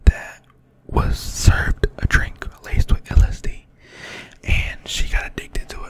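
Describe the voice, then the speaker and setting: Fairly slow whispering with noticeable background noise behind it. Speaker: ASMR creator. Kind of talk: casual talk to camera.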